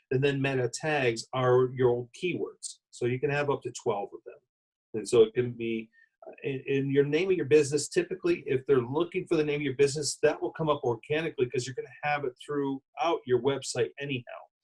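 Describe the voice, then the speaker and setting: Recorded dry and close with no echo, a man speaks at a fairly quick pace in a somewhat breathy voice with fairly even intonation. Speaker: wedding business marketing expert. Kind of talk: live interview.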